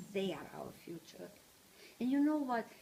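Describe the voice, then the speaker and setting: A woman's somewhat breathy voice. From Transylvania, Romania. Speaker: Holocaust survivor speaker, retired teacher. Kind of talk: personal testimony talk to small audience. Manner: halting.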